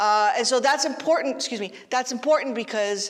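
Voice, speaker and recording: A woman speaks in an animated tone. Noticeable background noise is present. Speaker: philosophy professor. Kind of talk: lecture. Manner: loud.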